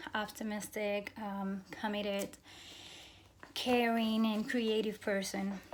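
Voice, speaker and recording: Speaking in a Cuban accent, a woman talks at a very slow pace with a fairly high pitch and monotone, flat intonation. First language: Spanish. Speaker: graduate program applicant. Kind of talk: admissions interview answers, self-recorded. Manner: hesitant, many fillers and restarts.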